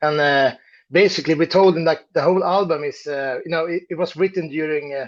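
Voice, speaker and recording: Against a quiet background, a man speaks at a fairly high pitch with a Swedish accent. His pitch varies in an ordinary way. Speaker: metal band musician. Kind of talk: interview. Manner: halting, many fillers.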